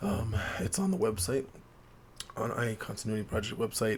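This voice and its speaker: A quiet man speaks at a medium pitch with vocal fry. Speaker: gaming channel host. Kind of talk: tutorial walkthrough. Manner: talking quietly to preserve voice.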